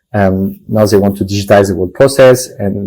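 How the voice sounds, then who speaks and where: Somewhat breathy and dark, mellow in tone, the voice moves at a fairly quick pace with a French accent. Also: man, very clean recording, silent background. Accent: French accent, noticeable. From France. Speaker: tech company founder and CEO. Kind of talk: panel discussion interview. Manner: halting, many fillers.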